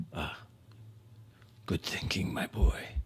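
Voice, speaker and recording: Whispering in a put-on character voice, a man is heard in a dry, close recording with no echo and clear background noise. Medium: actual play. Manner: hushed, curt.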